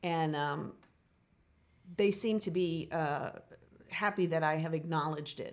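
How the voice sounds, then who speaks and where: A woman's fairly low-pitched voice with fairly even intonation and long, frequent pauses. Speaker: musical theater professor and choreographer. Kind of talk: casual interview chat. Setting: in person, same room. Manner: soft-spoken; hesitant, many fillers.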